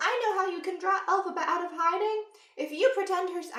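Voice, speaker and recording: A woman's put-on character voice, extremely high in pitch, with fairly even intonation and a fairly quick pace. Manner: exaggerated, sugary.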